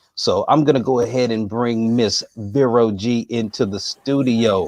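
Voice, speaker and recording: Medium in pitch, this man has an ordinary speaking voice and talks at a fairly slow pace with fairly even intonation. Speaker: interviewer, channel host. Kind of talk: podcast-style interview intro.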